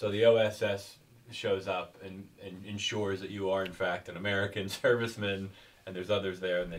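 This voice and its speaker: At a fairly quick pace, a man with a fairly low voice speaks in a flat monotone while his loudness swings widely. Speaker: history professor. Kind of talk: interview questions. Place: home room.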